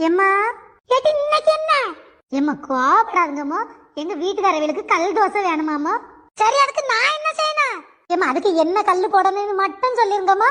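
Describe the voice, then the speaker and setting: This is a cartoonish character voice with very wide pitch swings. The pace is moderate. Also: woman, extremely high pitch for a woman. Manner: teasing, scolding.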